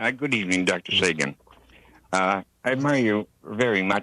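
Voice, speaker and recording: The tone is bright and sharp, with vocal fry and lively intonation. The sound is dry and close, with no echo. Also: man. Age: 60s. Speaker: caller. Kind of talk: call-in question. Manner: halting, repetitive.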